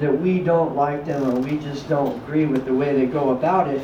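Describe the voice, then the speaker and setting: Noticeable background noise and audible room echo surround the recording. A man with an American accent speaks at a fairly high pitch. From California. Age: 60s. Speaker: whistleblower, former border officer. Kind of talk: public talk. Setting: library talk with audience.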